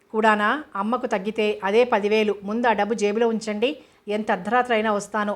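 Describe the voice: Plain reading aloud makes up the recording.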